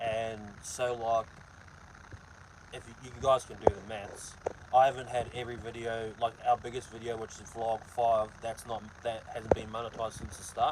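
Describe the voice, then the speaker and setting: A man speaks with a New Zealand accent at medium pitch and a moderate pace. Noticeable background noise runs beneath his voice. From New Zealand, Hawke's Bay. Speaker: truck driver and vlogger. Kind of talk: casual live-stream chat reading comments. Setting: live stream while loading truck trailer.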